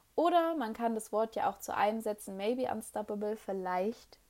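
The recording is very clean with a silent background. A woman talks at a moderate pace. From Germany, Hannover. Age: 20s. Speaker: podcast host, network marketing entrepreneur. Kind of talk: solo monologue, personal story. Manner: frequent filler hesitations.

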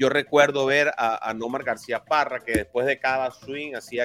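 Dry and close with no echo, a man's medium-pitched voice has a bright, sharp tone and fairly even intonation. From Venezuela. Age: 50s. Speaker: sports podcast host. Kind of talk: casual sports talk.

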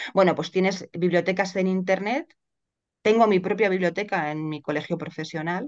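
A woman talks at a moderate pace. Hers is an ordinary speaking voice, medium in pitch. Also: ordinary pitch variation. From Spain, Madrid. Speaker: lawyer and writer. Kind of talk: interview conversation.

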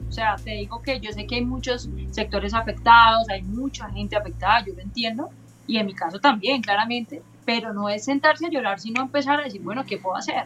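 A woman talks at a fairly quick pace, her loudness swinging widely. Noticeable background noise runs underneath. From Colombia, Cali. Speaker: motorcyclist and riding instructor. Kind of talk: casual chat.

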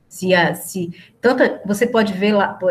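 This is a woman speaking at a medium pitch. Her voice is somewhat breathy. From Recife, Northeast Brazil. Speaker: historian, researcher. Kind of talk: casual interview chat.

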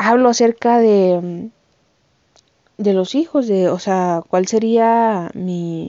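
A woman speaks with a Mexican accent. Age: 20s. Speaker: podcast host. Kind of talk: casual monologue. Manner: animated.

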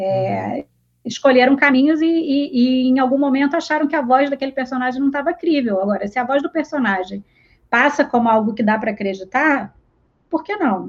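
Speaking at a moderate pace, a woman uses a high pitch and a strong Rio de Janeiro accent. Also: ordinary pitch variation. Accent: strong carioca. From Rio de Janeiro, Brazil. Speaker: literary translator. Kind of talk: casual interview.

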